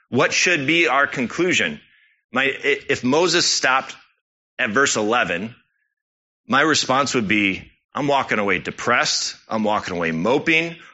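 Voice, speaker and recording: A man's medium-pitched voice with vocal fry, very wide pitch swings, very even loudness and a fairly slow pace. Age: 30s. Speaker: church elder preaching. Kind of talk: sermon.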